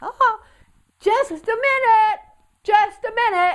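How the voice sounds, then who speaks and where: Projecting loudly in a put-on character voice, a woman squeaks at an extremely high pitch and a fairly slow pace. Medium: read story. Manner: friendly, good-natured.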